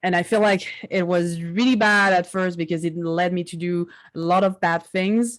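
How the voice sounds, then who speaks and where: Fairly low-pitched woman's voice in a French accent, fairly even in intonation and moderate in pace, on a very clean recording with a silent background. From southern France. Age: 20s. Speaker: digital artist. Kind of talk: interview.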